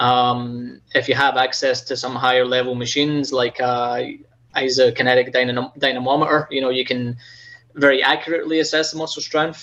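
A man's medium-pitched voice with a slight Scottish accent, bright and sharp, its intonation monotone and flat. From Scotland. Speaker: physical therapist, clinic manager. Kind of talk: casual interview chat.

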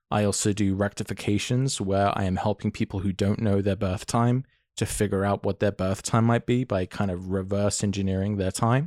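Captured in a very clean, dry, close recording with a silent background and no echo, a man with an ordinary speaking voice talks at a fairly quick pace, with fairly low pitch, fairly even intonation and very even loudness. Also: hardly any pauses. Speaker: astrologer.

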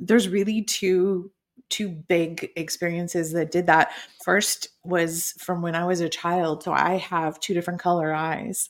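A woman speaks at a fairly slow pace and a fairly low pitch, her intonation fairly even. She has a plain, everyday voice. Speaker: keynote speaker and storytelling author. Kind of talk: podcast interview. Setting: video call.

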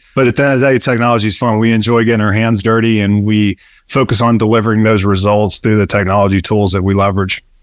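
A man with an American accent speaks very fast in a fairly low, monotone, flat voice at very even loudness, on a very clean recording with a silent background. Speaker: business founder. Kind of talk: casual interview.

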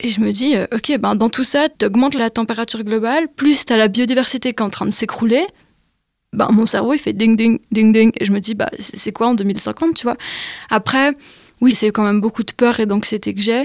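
A woman with an ordinary speaking voice, fairly high in pitch, ordinary pitch variation, moderate pace, dry, close sound with no echo. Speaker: climate activist. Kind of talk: casual chat.

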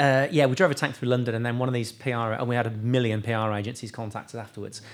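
A man with a British accent, medium in pitch, at a fairly quick pace. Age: 40s. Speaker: sports nutrition company CEO. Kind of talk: casual interview.

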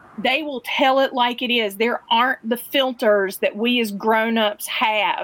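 A woman's high-pitched voice at a fairly slow pace. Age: middle-aged. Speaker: community building director, former educator. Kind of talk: casual interview.

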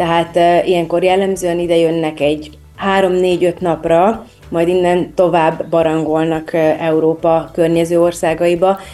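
Woman at a fairly low pitch, fairly slow pace, monotone, flat intonation and very even loudness, with noticeable background noise. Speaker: destination wedding planner. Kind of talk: interview.

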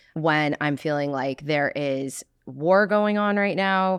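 A woman's very deep, low voice with lively intonation and a New Jersey accent, dry and close with no echo over a quiet background. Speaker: podcast host. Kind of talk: casual interview chat. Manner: drawn-out, expressive delivery.

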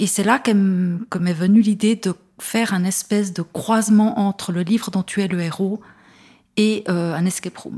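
A woman speaks with a dark, mellow tone, somewhat breathy. Her pace is fairly slow and her intonation fairly even. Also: medium pitch for a woman. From Switzerland, Neuchâtel. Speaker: first-time fiction author. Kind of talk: interview. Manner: hesitant, many fillers.

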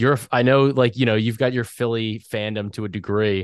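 With a quiet background, a man speaks in an ordinary speaking voice at a moderate pace, fairly low in pitch, with fairly even intonation. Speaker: podcast host. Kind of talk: sponsored betting podcast chat.

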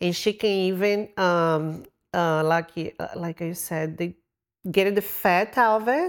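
The recording is very clean, with a silent background. The speaker talks at a fairly slow pace with a Brazilian accent. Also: woman. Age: 40s. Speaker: cosmetic surgery patient. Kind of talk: casual interview.

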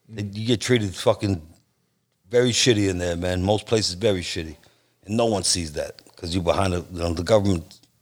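A man with a normal speaking voice talks at a fairly quick pace, his fairly low pitch showing ordinary variation. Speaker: podcast co-host. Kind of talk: casual chat. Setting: motorcycle shop.

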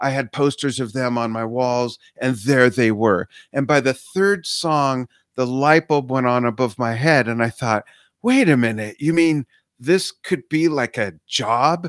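A man with an American accent, medium in pitch, at a fairly slow pace with ordinary pitch variation, in a dry, close sound with no echo and a very clean recording over a silent background. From Southern California, San Fernando Valley. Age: 50s. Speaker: musician and social media business coach. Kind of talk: podcast interview. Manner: animated.

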